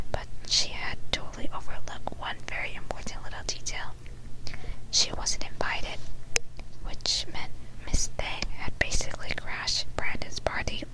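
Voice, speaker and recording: A whispering voice breaks off with long, frequent pauses. Noticeable background noise sits behind it. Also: moderate pace. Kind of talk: ASMR whispered book reading. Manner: whispered.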